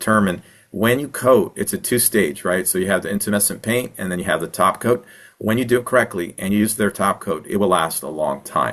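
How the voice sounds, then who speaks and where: At a fairly quick pace, a man talks in a fairly low pitch with ordinary pitch variation. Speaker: wildfire mitigation consultant and presenter. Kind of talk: webinar Q&A answering audience questions. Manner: fast.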